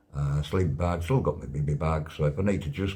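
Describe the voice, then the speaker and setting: A man with a North Yorkshire accent has a very deep, low pitch and a dark, mellow, somewhat breathy tone. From Whitby, North Yorkshire, England. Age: 60s. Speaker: wheelchair double amputee on charity push. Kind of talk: casual video diary update. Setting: travel lodge room.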